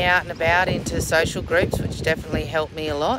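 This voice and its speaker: A woman is heard with music in the background and a dry sound with no echo. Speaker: travel vlogger. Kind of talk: casual vlog chat. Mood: candid, reflective. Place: waterside. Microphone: phone near.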